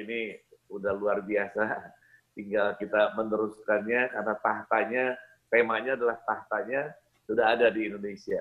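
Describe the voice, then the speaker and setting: Against a quiet background, a man talks at a fairly low pitch. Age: 60s. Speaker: prayer network leader. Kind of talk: exhortation. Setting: video call. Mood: warm, encouraging. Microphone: video call.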